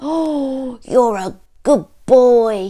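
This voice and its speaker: A female-sounding voice bellows in a gruff, put-on character voice, high-pitched for a woman. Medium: read story. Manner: gruff, roaring.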